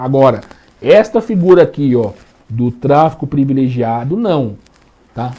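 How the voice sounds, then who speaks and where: A man with a Brazilian accent, his dark, mellow tone pitched fairly high and his intonation lively. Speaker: law teacher. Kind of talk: lecture. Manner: casual, colloquial.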